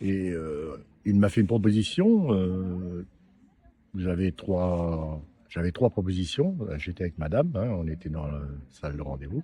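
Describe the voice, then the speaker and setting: Very deep and low, a man's voice moves at a fairly slow pace with long, frequent pauses. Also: ordinary pitch variation. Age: 70s. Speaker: prostate cancer survivor. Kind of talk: interview.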